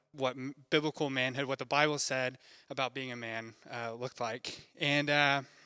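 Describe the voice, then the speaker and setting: A man's fairly high, bright, sharp voice at a moderate pace, with fairly even intonation, in a very clean recording with a silent background. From Texas. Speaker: campus minister. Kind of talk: sermon.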